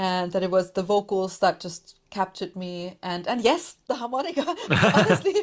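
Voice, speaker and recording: With a German accent, a woman speaks at a medium pitch and a moderate pace, her pitch varying in an ordinary way. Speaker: podcaster, music commentator. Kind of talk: casual interview chat.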